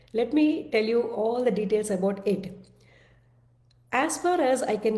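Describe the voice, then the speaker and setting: Fairly high for a woman, her voice has a dark, mellow, somewhat breathy tone and a Telugu accent. She speaks at a fairly slow pace, with audible room echo around her. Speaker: self-development speaker. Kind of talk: casual monologue (live video). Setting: live-streamed video. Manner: halting, many fillers and restarts.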